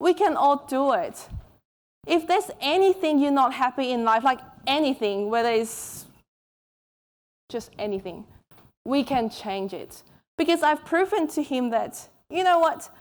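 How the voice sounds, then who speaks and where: A woman's high-pitched voice with a non-native accent, very wide pitch swings, a fairly slow pace and long, frequent pauses. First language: not English. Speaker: author and keynote speaker. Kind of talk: keynote talk. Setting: stage with audience.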